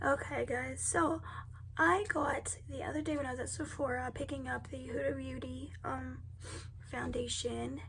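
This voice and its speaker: Noticeable background noise fills the recording. Through it, a woman talks at a moderate tempo. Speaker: beauty vlogger. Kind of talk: casual makeup tutorial talk to camera.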